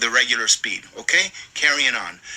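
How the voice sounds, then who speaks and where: A man speaks at a moderate pace. Noticeable background noise is audible. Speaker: political commentary youtuber. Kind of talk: casual monologue; reading aloud with commentary.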